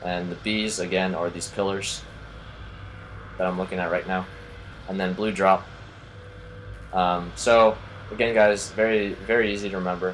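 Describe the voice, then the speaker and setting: A man speaks at a moderate pace in a very deep, low voice with flat, monotone intonation, long and frequent pauses, and noticeable background noise. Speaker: gaming YouTuber. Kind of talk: game tutorial commentary. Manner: casual, filler-heavy.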